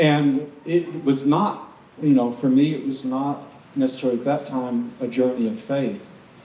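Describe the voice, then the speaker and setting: With an American accent, a man speaks at a moderate pace and a fairly high pitch with ordinary pitch variation, amid audible room echo and noticeable background noise. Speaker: intentional community member. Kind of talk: panel discussion. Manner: halting.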